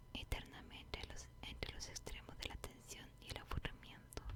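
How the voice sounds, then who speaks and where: A woman whispers in a soothing tone at a fairly slow pace. Noticeable background noise is present. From Chile. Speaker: ASMR content creator. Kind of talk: book reading, whispered ASMR. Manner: whispered, slow, soothing.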